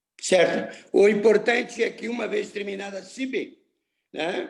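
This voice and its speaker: His pitch sits high for a man, with ordinary variation. This male speaker talks at a fairly slow pace. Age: 70s. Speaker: municipal health secretary and doctor. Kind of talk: official meeting discussion.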